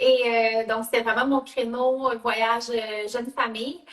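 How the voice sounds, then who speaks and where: A woman speaks at a fairly slow pace in a high voice with a Quebec accent. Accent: Canadian French (Quebec). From Canada. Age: 30s. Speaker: network marketing entrepreneur. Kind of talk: live video interview. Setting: live video call. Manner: hesitant, many fillers.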